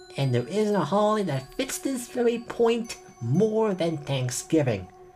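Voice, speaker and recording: The speaker keeps a moderate pace while music plays in the background. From Ireland. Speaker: film reviewer. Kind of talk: scripted film review monologue.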